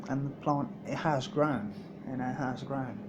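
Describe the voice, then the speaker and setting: With audible room echo and noticeable background noise, a fairly high-pitched man speaks at a moderate pace with ordinary pitch variation. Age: 30s. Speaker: vlogger. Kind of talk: personal video diary. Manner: halting, repetitive.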